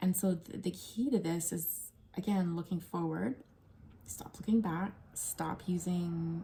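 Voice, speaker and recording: Soft-spoken and somewhat breathy, a woman with fairly low pitch and a dark, mellow tone talks at a very slow pace with ordinary pitch variation. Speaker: tarot reader. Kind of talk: tarot reading video. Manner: quiet.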